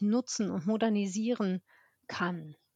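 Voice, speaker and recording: At a fairly slow pace, a woman uses an ordinary speaking voice with ordinary pitch variation, recorded with a dry, close sound with no echo and a quiet background. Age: 50s. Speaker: business development manager at a digital agency. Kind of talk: casual interview.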